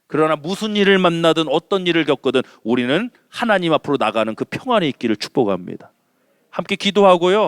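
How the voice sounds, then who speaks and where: A male voice in a Chungcheong accent, fairly quick and animated, with very wide pitch swings and a dry, close sound with no echo. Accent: Chungcheong dialect Korean. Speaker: senior pastor. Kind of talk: sermon. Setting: church.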